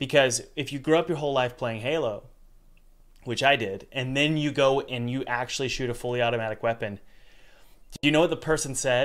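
In an unremarkable speaking voice of medium pitch, a man talks at a fairly quick pace with fairly even intonation on a very clean recording with a silent background. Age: 30s. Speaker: podcast host and game developer. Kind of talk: casual chat.

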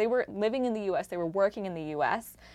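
A woman's medium-pitched voice at a moderate pace with very wide pitch swings, in a very clean recording over a silent background. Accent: American. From United States. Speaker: podcast host and investigative journalist. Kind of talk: conversational interview.

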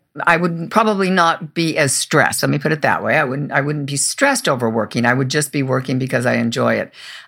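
A woman's very deep, low voice with vocal fry, ordinary pitch variation and a very fast pace. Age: 70s. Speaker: radio and TV producer and host. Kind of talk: interview. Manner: halting, frequent repetitions.

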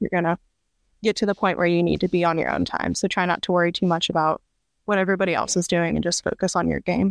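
A woman with a Midwestern American accent and fairly low pitch talks very fast in a monotone, flat way, her voice dry and close with no echo over a quiet background. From central Illinois. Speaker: competitive trap shooter. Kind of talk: casual interview.

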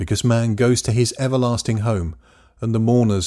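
A man with an English accent speaks in a somewhat breathy voice with a dark, mellow tone. The recording is very clean, with a silent background. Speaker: narrator, Bible reading. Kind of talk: scripture reading.

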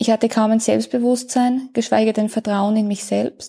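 Her tone is dark and mellow, somewhat breathy, with a fairly high pitch. The woman keeps a moderate pace. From Austria. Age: 30s. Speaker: coaching client. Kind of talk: testimony.

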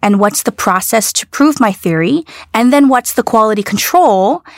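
With a dry, close sound and no echo, a woman with an ordinary speaking voice talks at medium pitch and a moderate pace, using ordinary pitch variation. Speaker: business executive. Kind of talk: interview.

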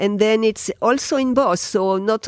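A woman with a French accent, ordinary pitch variation, and a dry, close sound with no echo in a very clean recording with a silent background. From France. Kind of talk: interview. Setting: in person at her home. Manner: halting.

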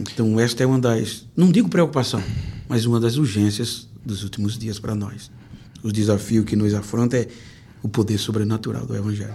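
A man's fairly low, dark and mellow voice, somewhat breathy, at a moderate pace with ordinary pitch variation and audible room echo. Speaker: pastor and preacher. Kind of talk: testimony interview. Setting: church.

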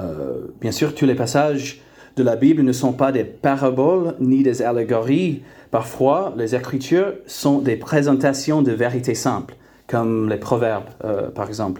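A man with an English accent talks at a fairly slow pace, with a medium pitch, ordinary pitch variation, and a dark, mellow tone. Audible room echo surrounds his voice. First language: English (speaking French). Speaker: preacher. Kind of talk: sermon. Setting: church. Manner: halting, many fillers and repeated words.

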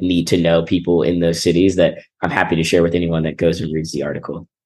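A man speaks with a very deep, low pitch at a fairly quick pace. The background is quiet. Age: 20s. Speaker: venture capital investor. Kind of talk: interview.

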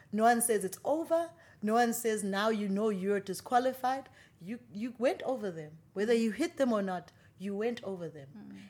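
A fairly high-pitched woman at a moderate pace, animated and playful in tone, with lively intonation and big swings in loudness. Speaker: musician and TV presenter. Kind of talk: casual interview conversation. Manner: animated, playful.

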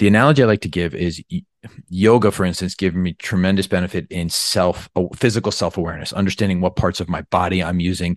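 Very deep, low male voice at a very fast pace, fairly even in intonation, dry and close with no echo against a quiet background. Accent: American. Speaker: podcast host and surgeon. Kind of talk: podcast interview. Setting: remote call.

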